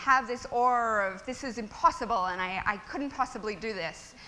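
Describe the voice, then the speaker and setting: With an Australian accent, a woman speaks high and at a moderate pace, her bright, sharp tone and lively intonation ringing with audible room echo. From Australia (Melbourne). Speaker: tech startup founder. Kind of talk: conference talk. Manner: casual, many fillers.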